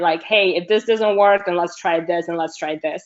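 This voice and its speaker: The speaker is a woman with a medium pitch. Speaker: film crew supervisor, webinar panelist. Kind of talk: panel discussion. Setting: online webinar. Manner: projected, speaking up for an audience; many fillers, conversational.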